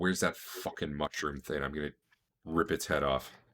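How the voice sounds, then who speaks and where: Doing a put-on character voice, a man speaks at a moderate pace in a very deep, low pitch that sounds strained and raspy, with fairly even intonation. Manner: angry, aggressive.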